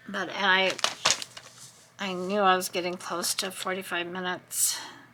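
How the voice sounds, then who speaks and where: The voice is soft-spoken and monotone, with flat intonation, at a fairly slow pace. Noticeable background noise runs underneath. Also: woman, medium pitch for a woman. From US West Coast (Southern California). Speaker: craft video creator. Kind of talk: crafting tutorial-style narration. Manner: mumbling to herself.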